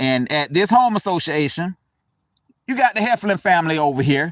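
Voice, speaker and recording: Using an American accent, a man speaks at a moderate pace with very wide pitch swings. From US South. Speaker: cemetery tour vlogger. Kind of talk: casual vlog narration. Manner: conversational, hesitant.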